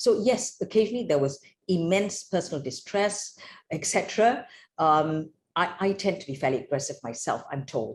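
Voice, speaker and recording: Her voice is somewhat breathy and medium in pitch. This woman's pitch swings very widely. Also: moderate pace. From Malaysia. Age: 60s. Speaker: judge. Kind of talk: interview. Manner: halting.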